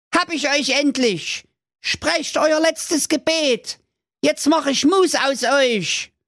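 In a put-on character voice, a man talks at a very slow pace with an extremely high pitch. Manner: thundering, menacing.

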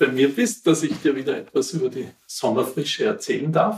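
A man with a plain, everyday voice talks in a fairly high pitch with lively intonation. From Austria, Wienerwald near Vienna. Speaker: local historian. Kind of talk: interview, storytelling. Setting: at his home.

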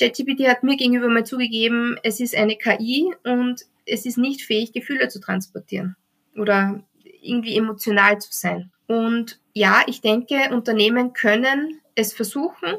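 A plain, everyday voice from a woman, fairly high in pitch, at a moderate pace with fairly even intonation. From Austria. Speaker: HR recruiting text consultant. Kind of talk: interview.

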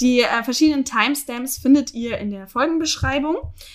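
A woman talks at a moderate pace. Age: 20s. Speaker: podcast co-host. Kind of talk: casual chat; news reading.

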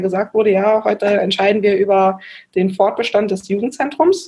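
Fairly high female speech at a moderate tempo, dark and mellow in tone, with ordinary pitch variation. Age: 20s. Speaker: volunteer mayor. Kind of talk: interview.

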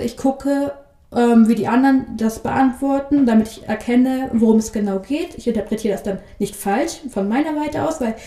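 A woman speaks at a high pitch and a fairly quick pace, with ordinary pitch variation. Noticeable background noise runs underneath. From northern Germany, Bremerhaven. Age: 20s. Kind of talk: interview. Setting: studio.

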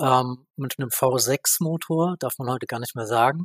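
In a normal speaking voice, a man talks at a moderate pace and fairly high pitch with ordinary pitch variation, recorded dry and close with no echo. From Baden-Württemberg, Germany. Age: 30s. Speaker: renewable energy association director. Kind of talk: interview.

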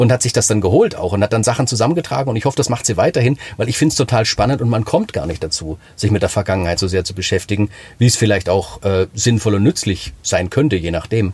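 A somewhat breathy voice at a very fast pace, with lively intonation and hardly any pauses. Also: man, fairly low pitch for a man. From Swabia, Germany (Sachsenheim). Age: 40s. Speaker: singer-songwriter and author. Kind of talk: casual interview chat.

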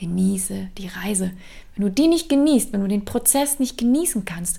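With a medium pitch and ordinary pitch variation, a woman speaks in a dark, mellow tone that is somewhat breathy. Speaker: career coach. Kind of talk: solo podcast monologue. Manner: conversational, energetic.

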